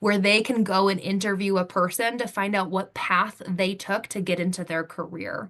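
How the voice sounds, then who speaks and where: Moving at a moderate pace, this is an unremarkable speaking voice. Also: woman. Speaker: software training specialist. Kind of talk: webinar presentation.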